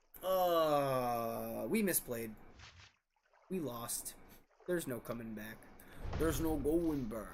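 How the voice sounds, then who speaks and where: A man with a medium-pitched voice speaks very slowly with lively intonation and long, frequent pauses, with audible room echo. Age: 30s. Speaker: card game streamer. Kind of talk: live gameplay commentary. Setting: live stream.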